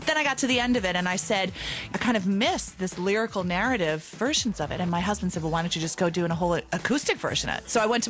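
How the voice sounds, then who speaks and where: With an American accent and a medium pitch, a woman talks at a very fast pace with hardly any pauses, her animated tone and lively intonation set against noticeable background noise. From New York City, Brooklyn. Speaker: singer-songwriter. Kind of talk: radio interview.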